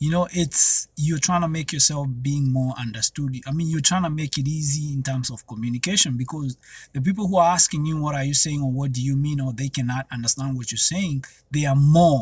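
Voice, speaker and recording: With a Kenyan accent, a man talks at a fairly quick pace in a somewhat breathy, fairly high voice with ordinary pitch variation. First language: Kenyan mother tongue, also Swahili. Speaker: YouTuber. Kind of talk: casual vlog monologue. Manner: conversational, with frequent fillers.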